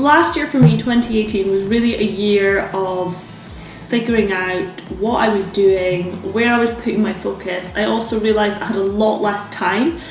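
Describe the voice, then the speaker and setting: A woman at a moderate pace with hardly any pauses, medium pitch and ordinary pitch variation, audible room echo and noticeable background noise. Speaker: lifestyle vlogger. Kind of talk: casual vlog chat. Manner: quiet; eating while talking.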